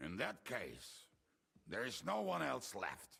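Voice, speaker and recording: A man's put-on character voice, raspy and very deep, at a fairly slow pace. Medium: video game. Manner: dry, doubtful.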